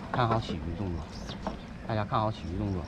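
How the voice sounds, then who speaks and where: A man with a Northeastern Chinese accent speaks at a fairly low pitch. The sound is dry with no echo, amid noticeable background noise. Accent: Northeastern Mandarin. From Northeast China (Shenyang); Northeast China. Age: young. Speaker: fishing vlogger. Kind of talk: casual vlog commentary. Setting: outdoors at a fishing pond. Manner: animated. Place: waterside. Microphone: phone near.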